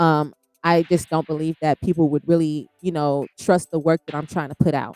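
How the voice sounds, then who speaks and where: At a very deep, low pitch, a woman speaks in a dark, mellow tone with monotone, flat intonation and a moderate pace, in a dry, close sound with no echo. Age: 20s. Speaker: life coach and podcaster. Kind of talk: casual livestream Q&A monologue. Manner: repetitive, filler-heavy.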